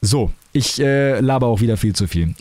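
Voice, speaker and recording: A man speaks in a dark, mellow tone. His pace is moderate, and his pitch variation is ordinary. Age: 20s. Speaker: podcaster and streamer. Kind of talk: casual solo monologue. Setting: home recording in his room.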